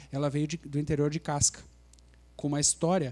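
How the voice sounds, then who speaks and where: Here a man has a dark, mellow tone and a fairly high pitch. He moves at a fairly quick pace in a very clean recording with a silent background. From Brazil, Rio Grande do Sul (Santa Maria). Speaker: lawyer. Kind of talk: panel talk. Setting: live event with audience.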